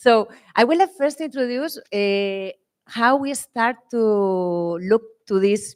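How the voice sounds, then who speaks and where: A woman speaks with a strong Spanish accent and ordinary pitch variation. The sound is dry and close, with no echo. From Spain. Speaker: winemaker. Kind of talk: panel presentation.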